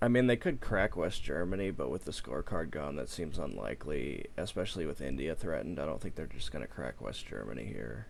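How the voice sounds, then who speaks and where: With vocal fry and a very deep, low pitch, a man talks at a fairly quick pace with hardly any pauses and very wide pitch swings. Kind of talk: casual chat.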